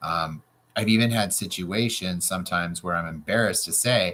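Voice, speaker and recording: Loud and bright with a sharp tone, a man speaks at a moderate pace with ordinary pitch variation. The recording is very clean, with a silent background. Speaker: real estate coach. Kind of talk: tutorial. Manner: animated.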